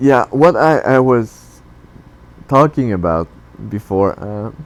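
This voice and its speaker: This man speaks with a non-native accent at a medium pitch. His pace is fairly slow, with ordinary pitch variation. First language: not English. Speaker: tech YouTuber. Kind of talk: tutorial. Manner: halting.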